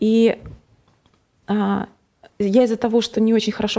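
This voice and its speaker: A woman's voice with fairly even intonation. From Russia, Nizhny Novgorod. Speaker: guest sharing faith story. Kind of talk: testimony. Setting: studio.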